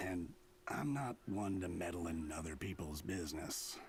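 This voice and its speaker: The put-on character voice is raspy and moves at a moderate pace. Background noise can be clearly heard. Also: man, very deep, low pitch for a man, lively intonation, very even loudness. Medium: video game. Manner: relaxed, gentle.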